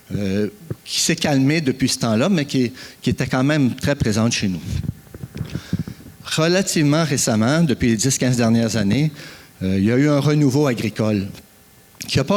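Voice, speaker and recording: The delivery has lively intonation and very even loudness at a moderate pace. Long, frequent pauses break it up, with noticeable background noise. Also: man. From Quebec, Eastern Townships (Frelighsburg). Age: 60s. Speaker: farmer and forest producer, conference speaker. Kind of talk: conference talk. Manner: hesitant, many fillers.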